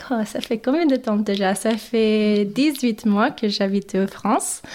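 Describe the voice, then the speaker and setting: A woman speaks at a very slow pace with a fairly high pitch and ordinary pitch variation. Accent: English. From Mexico, then US Midwest from age 11. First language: English (speaking French). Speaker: podcast guest. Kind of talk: interview. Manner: halting, many hesitations.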